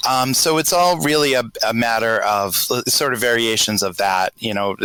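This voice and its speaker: A man at medium pitch with a slight Boston accent, lively intonation and a moderate pace. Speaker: patron on podcast chat. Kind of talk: casual group chat. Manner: halting, many fillers.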